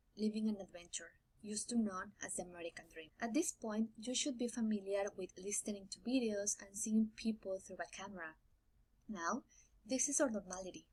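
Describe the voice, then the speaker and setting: A woman's somewhat breathy voice with a Spanish accent, fairly high in pitch, at a moderate pace with ordinary pitch variation. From Mexico. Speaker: graduating student. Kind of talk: prerecorded speech.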